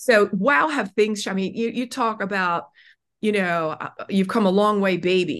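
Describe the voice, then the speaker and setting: A woman's unremarkable speaking voice at medium pitch, with ordinary pitch variation and a quiet background. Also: fairly slow pace. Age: 60s. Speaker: author and self-esteem speaker. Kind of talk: interview.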